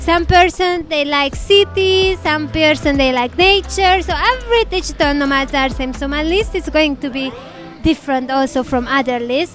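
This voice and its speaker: Music plays in the background as a woman with a non-native accent speaks. Her moderate-paced delivery has lively intonation. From Hungary. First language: Hungarian. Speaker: travel vlogger. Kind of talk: casual to-camera vlog talk. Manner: halting, with false starts.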